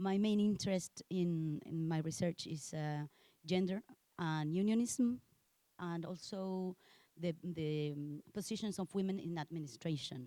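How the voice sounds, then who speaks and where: A woman with a Spanish accent, fairly low in pitch with ordinary pitch variation, in a dark, mellow tone at a fairly slow pace, with a dry, close sound and no echo. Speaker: sociologist. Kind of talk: self-introduction at academic meeting. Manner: halting, many fillers.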